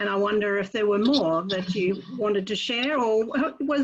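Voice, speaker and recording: A woman speaks with an Australian accent. Her pitch is fairly high. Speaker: club member asking a question. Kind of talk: Q&A question.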